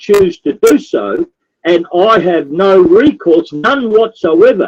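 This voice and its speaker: The sound is close and dry, with no echo. The speaker is a man with an Australian accent. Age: 60s. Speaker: activist. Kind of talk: political talk show interview. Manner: repetitive, emphatic.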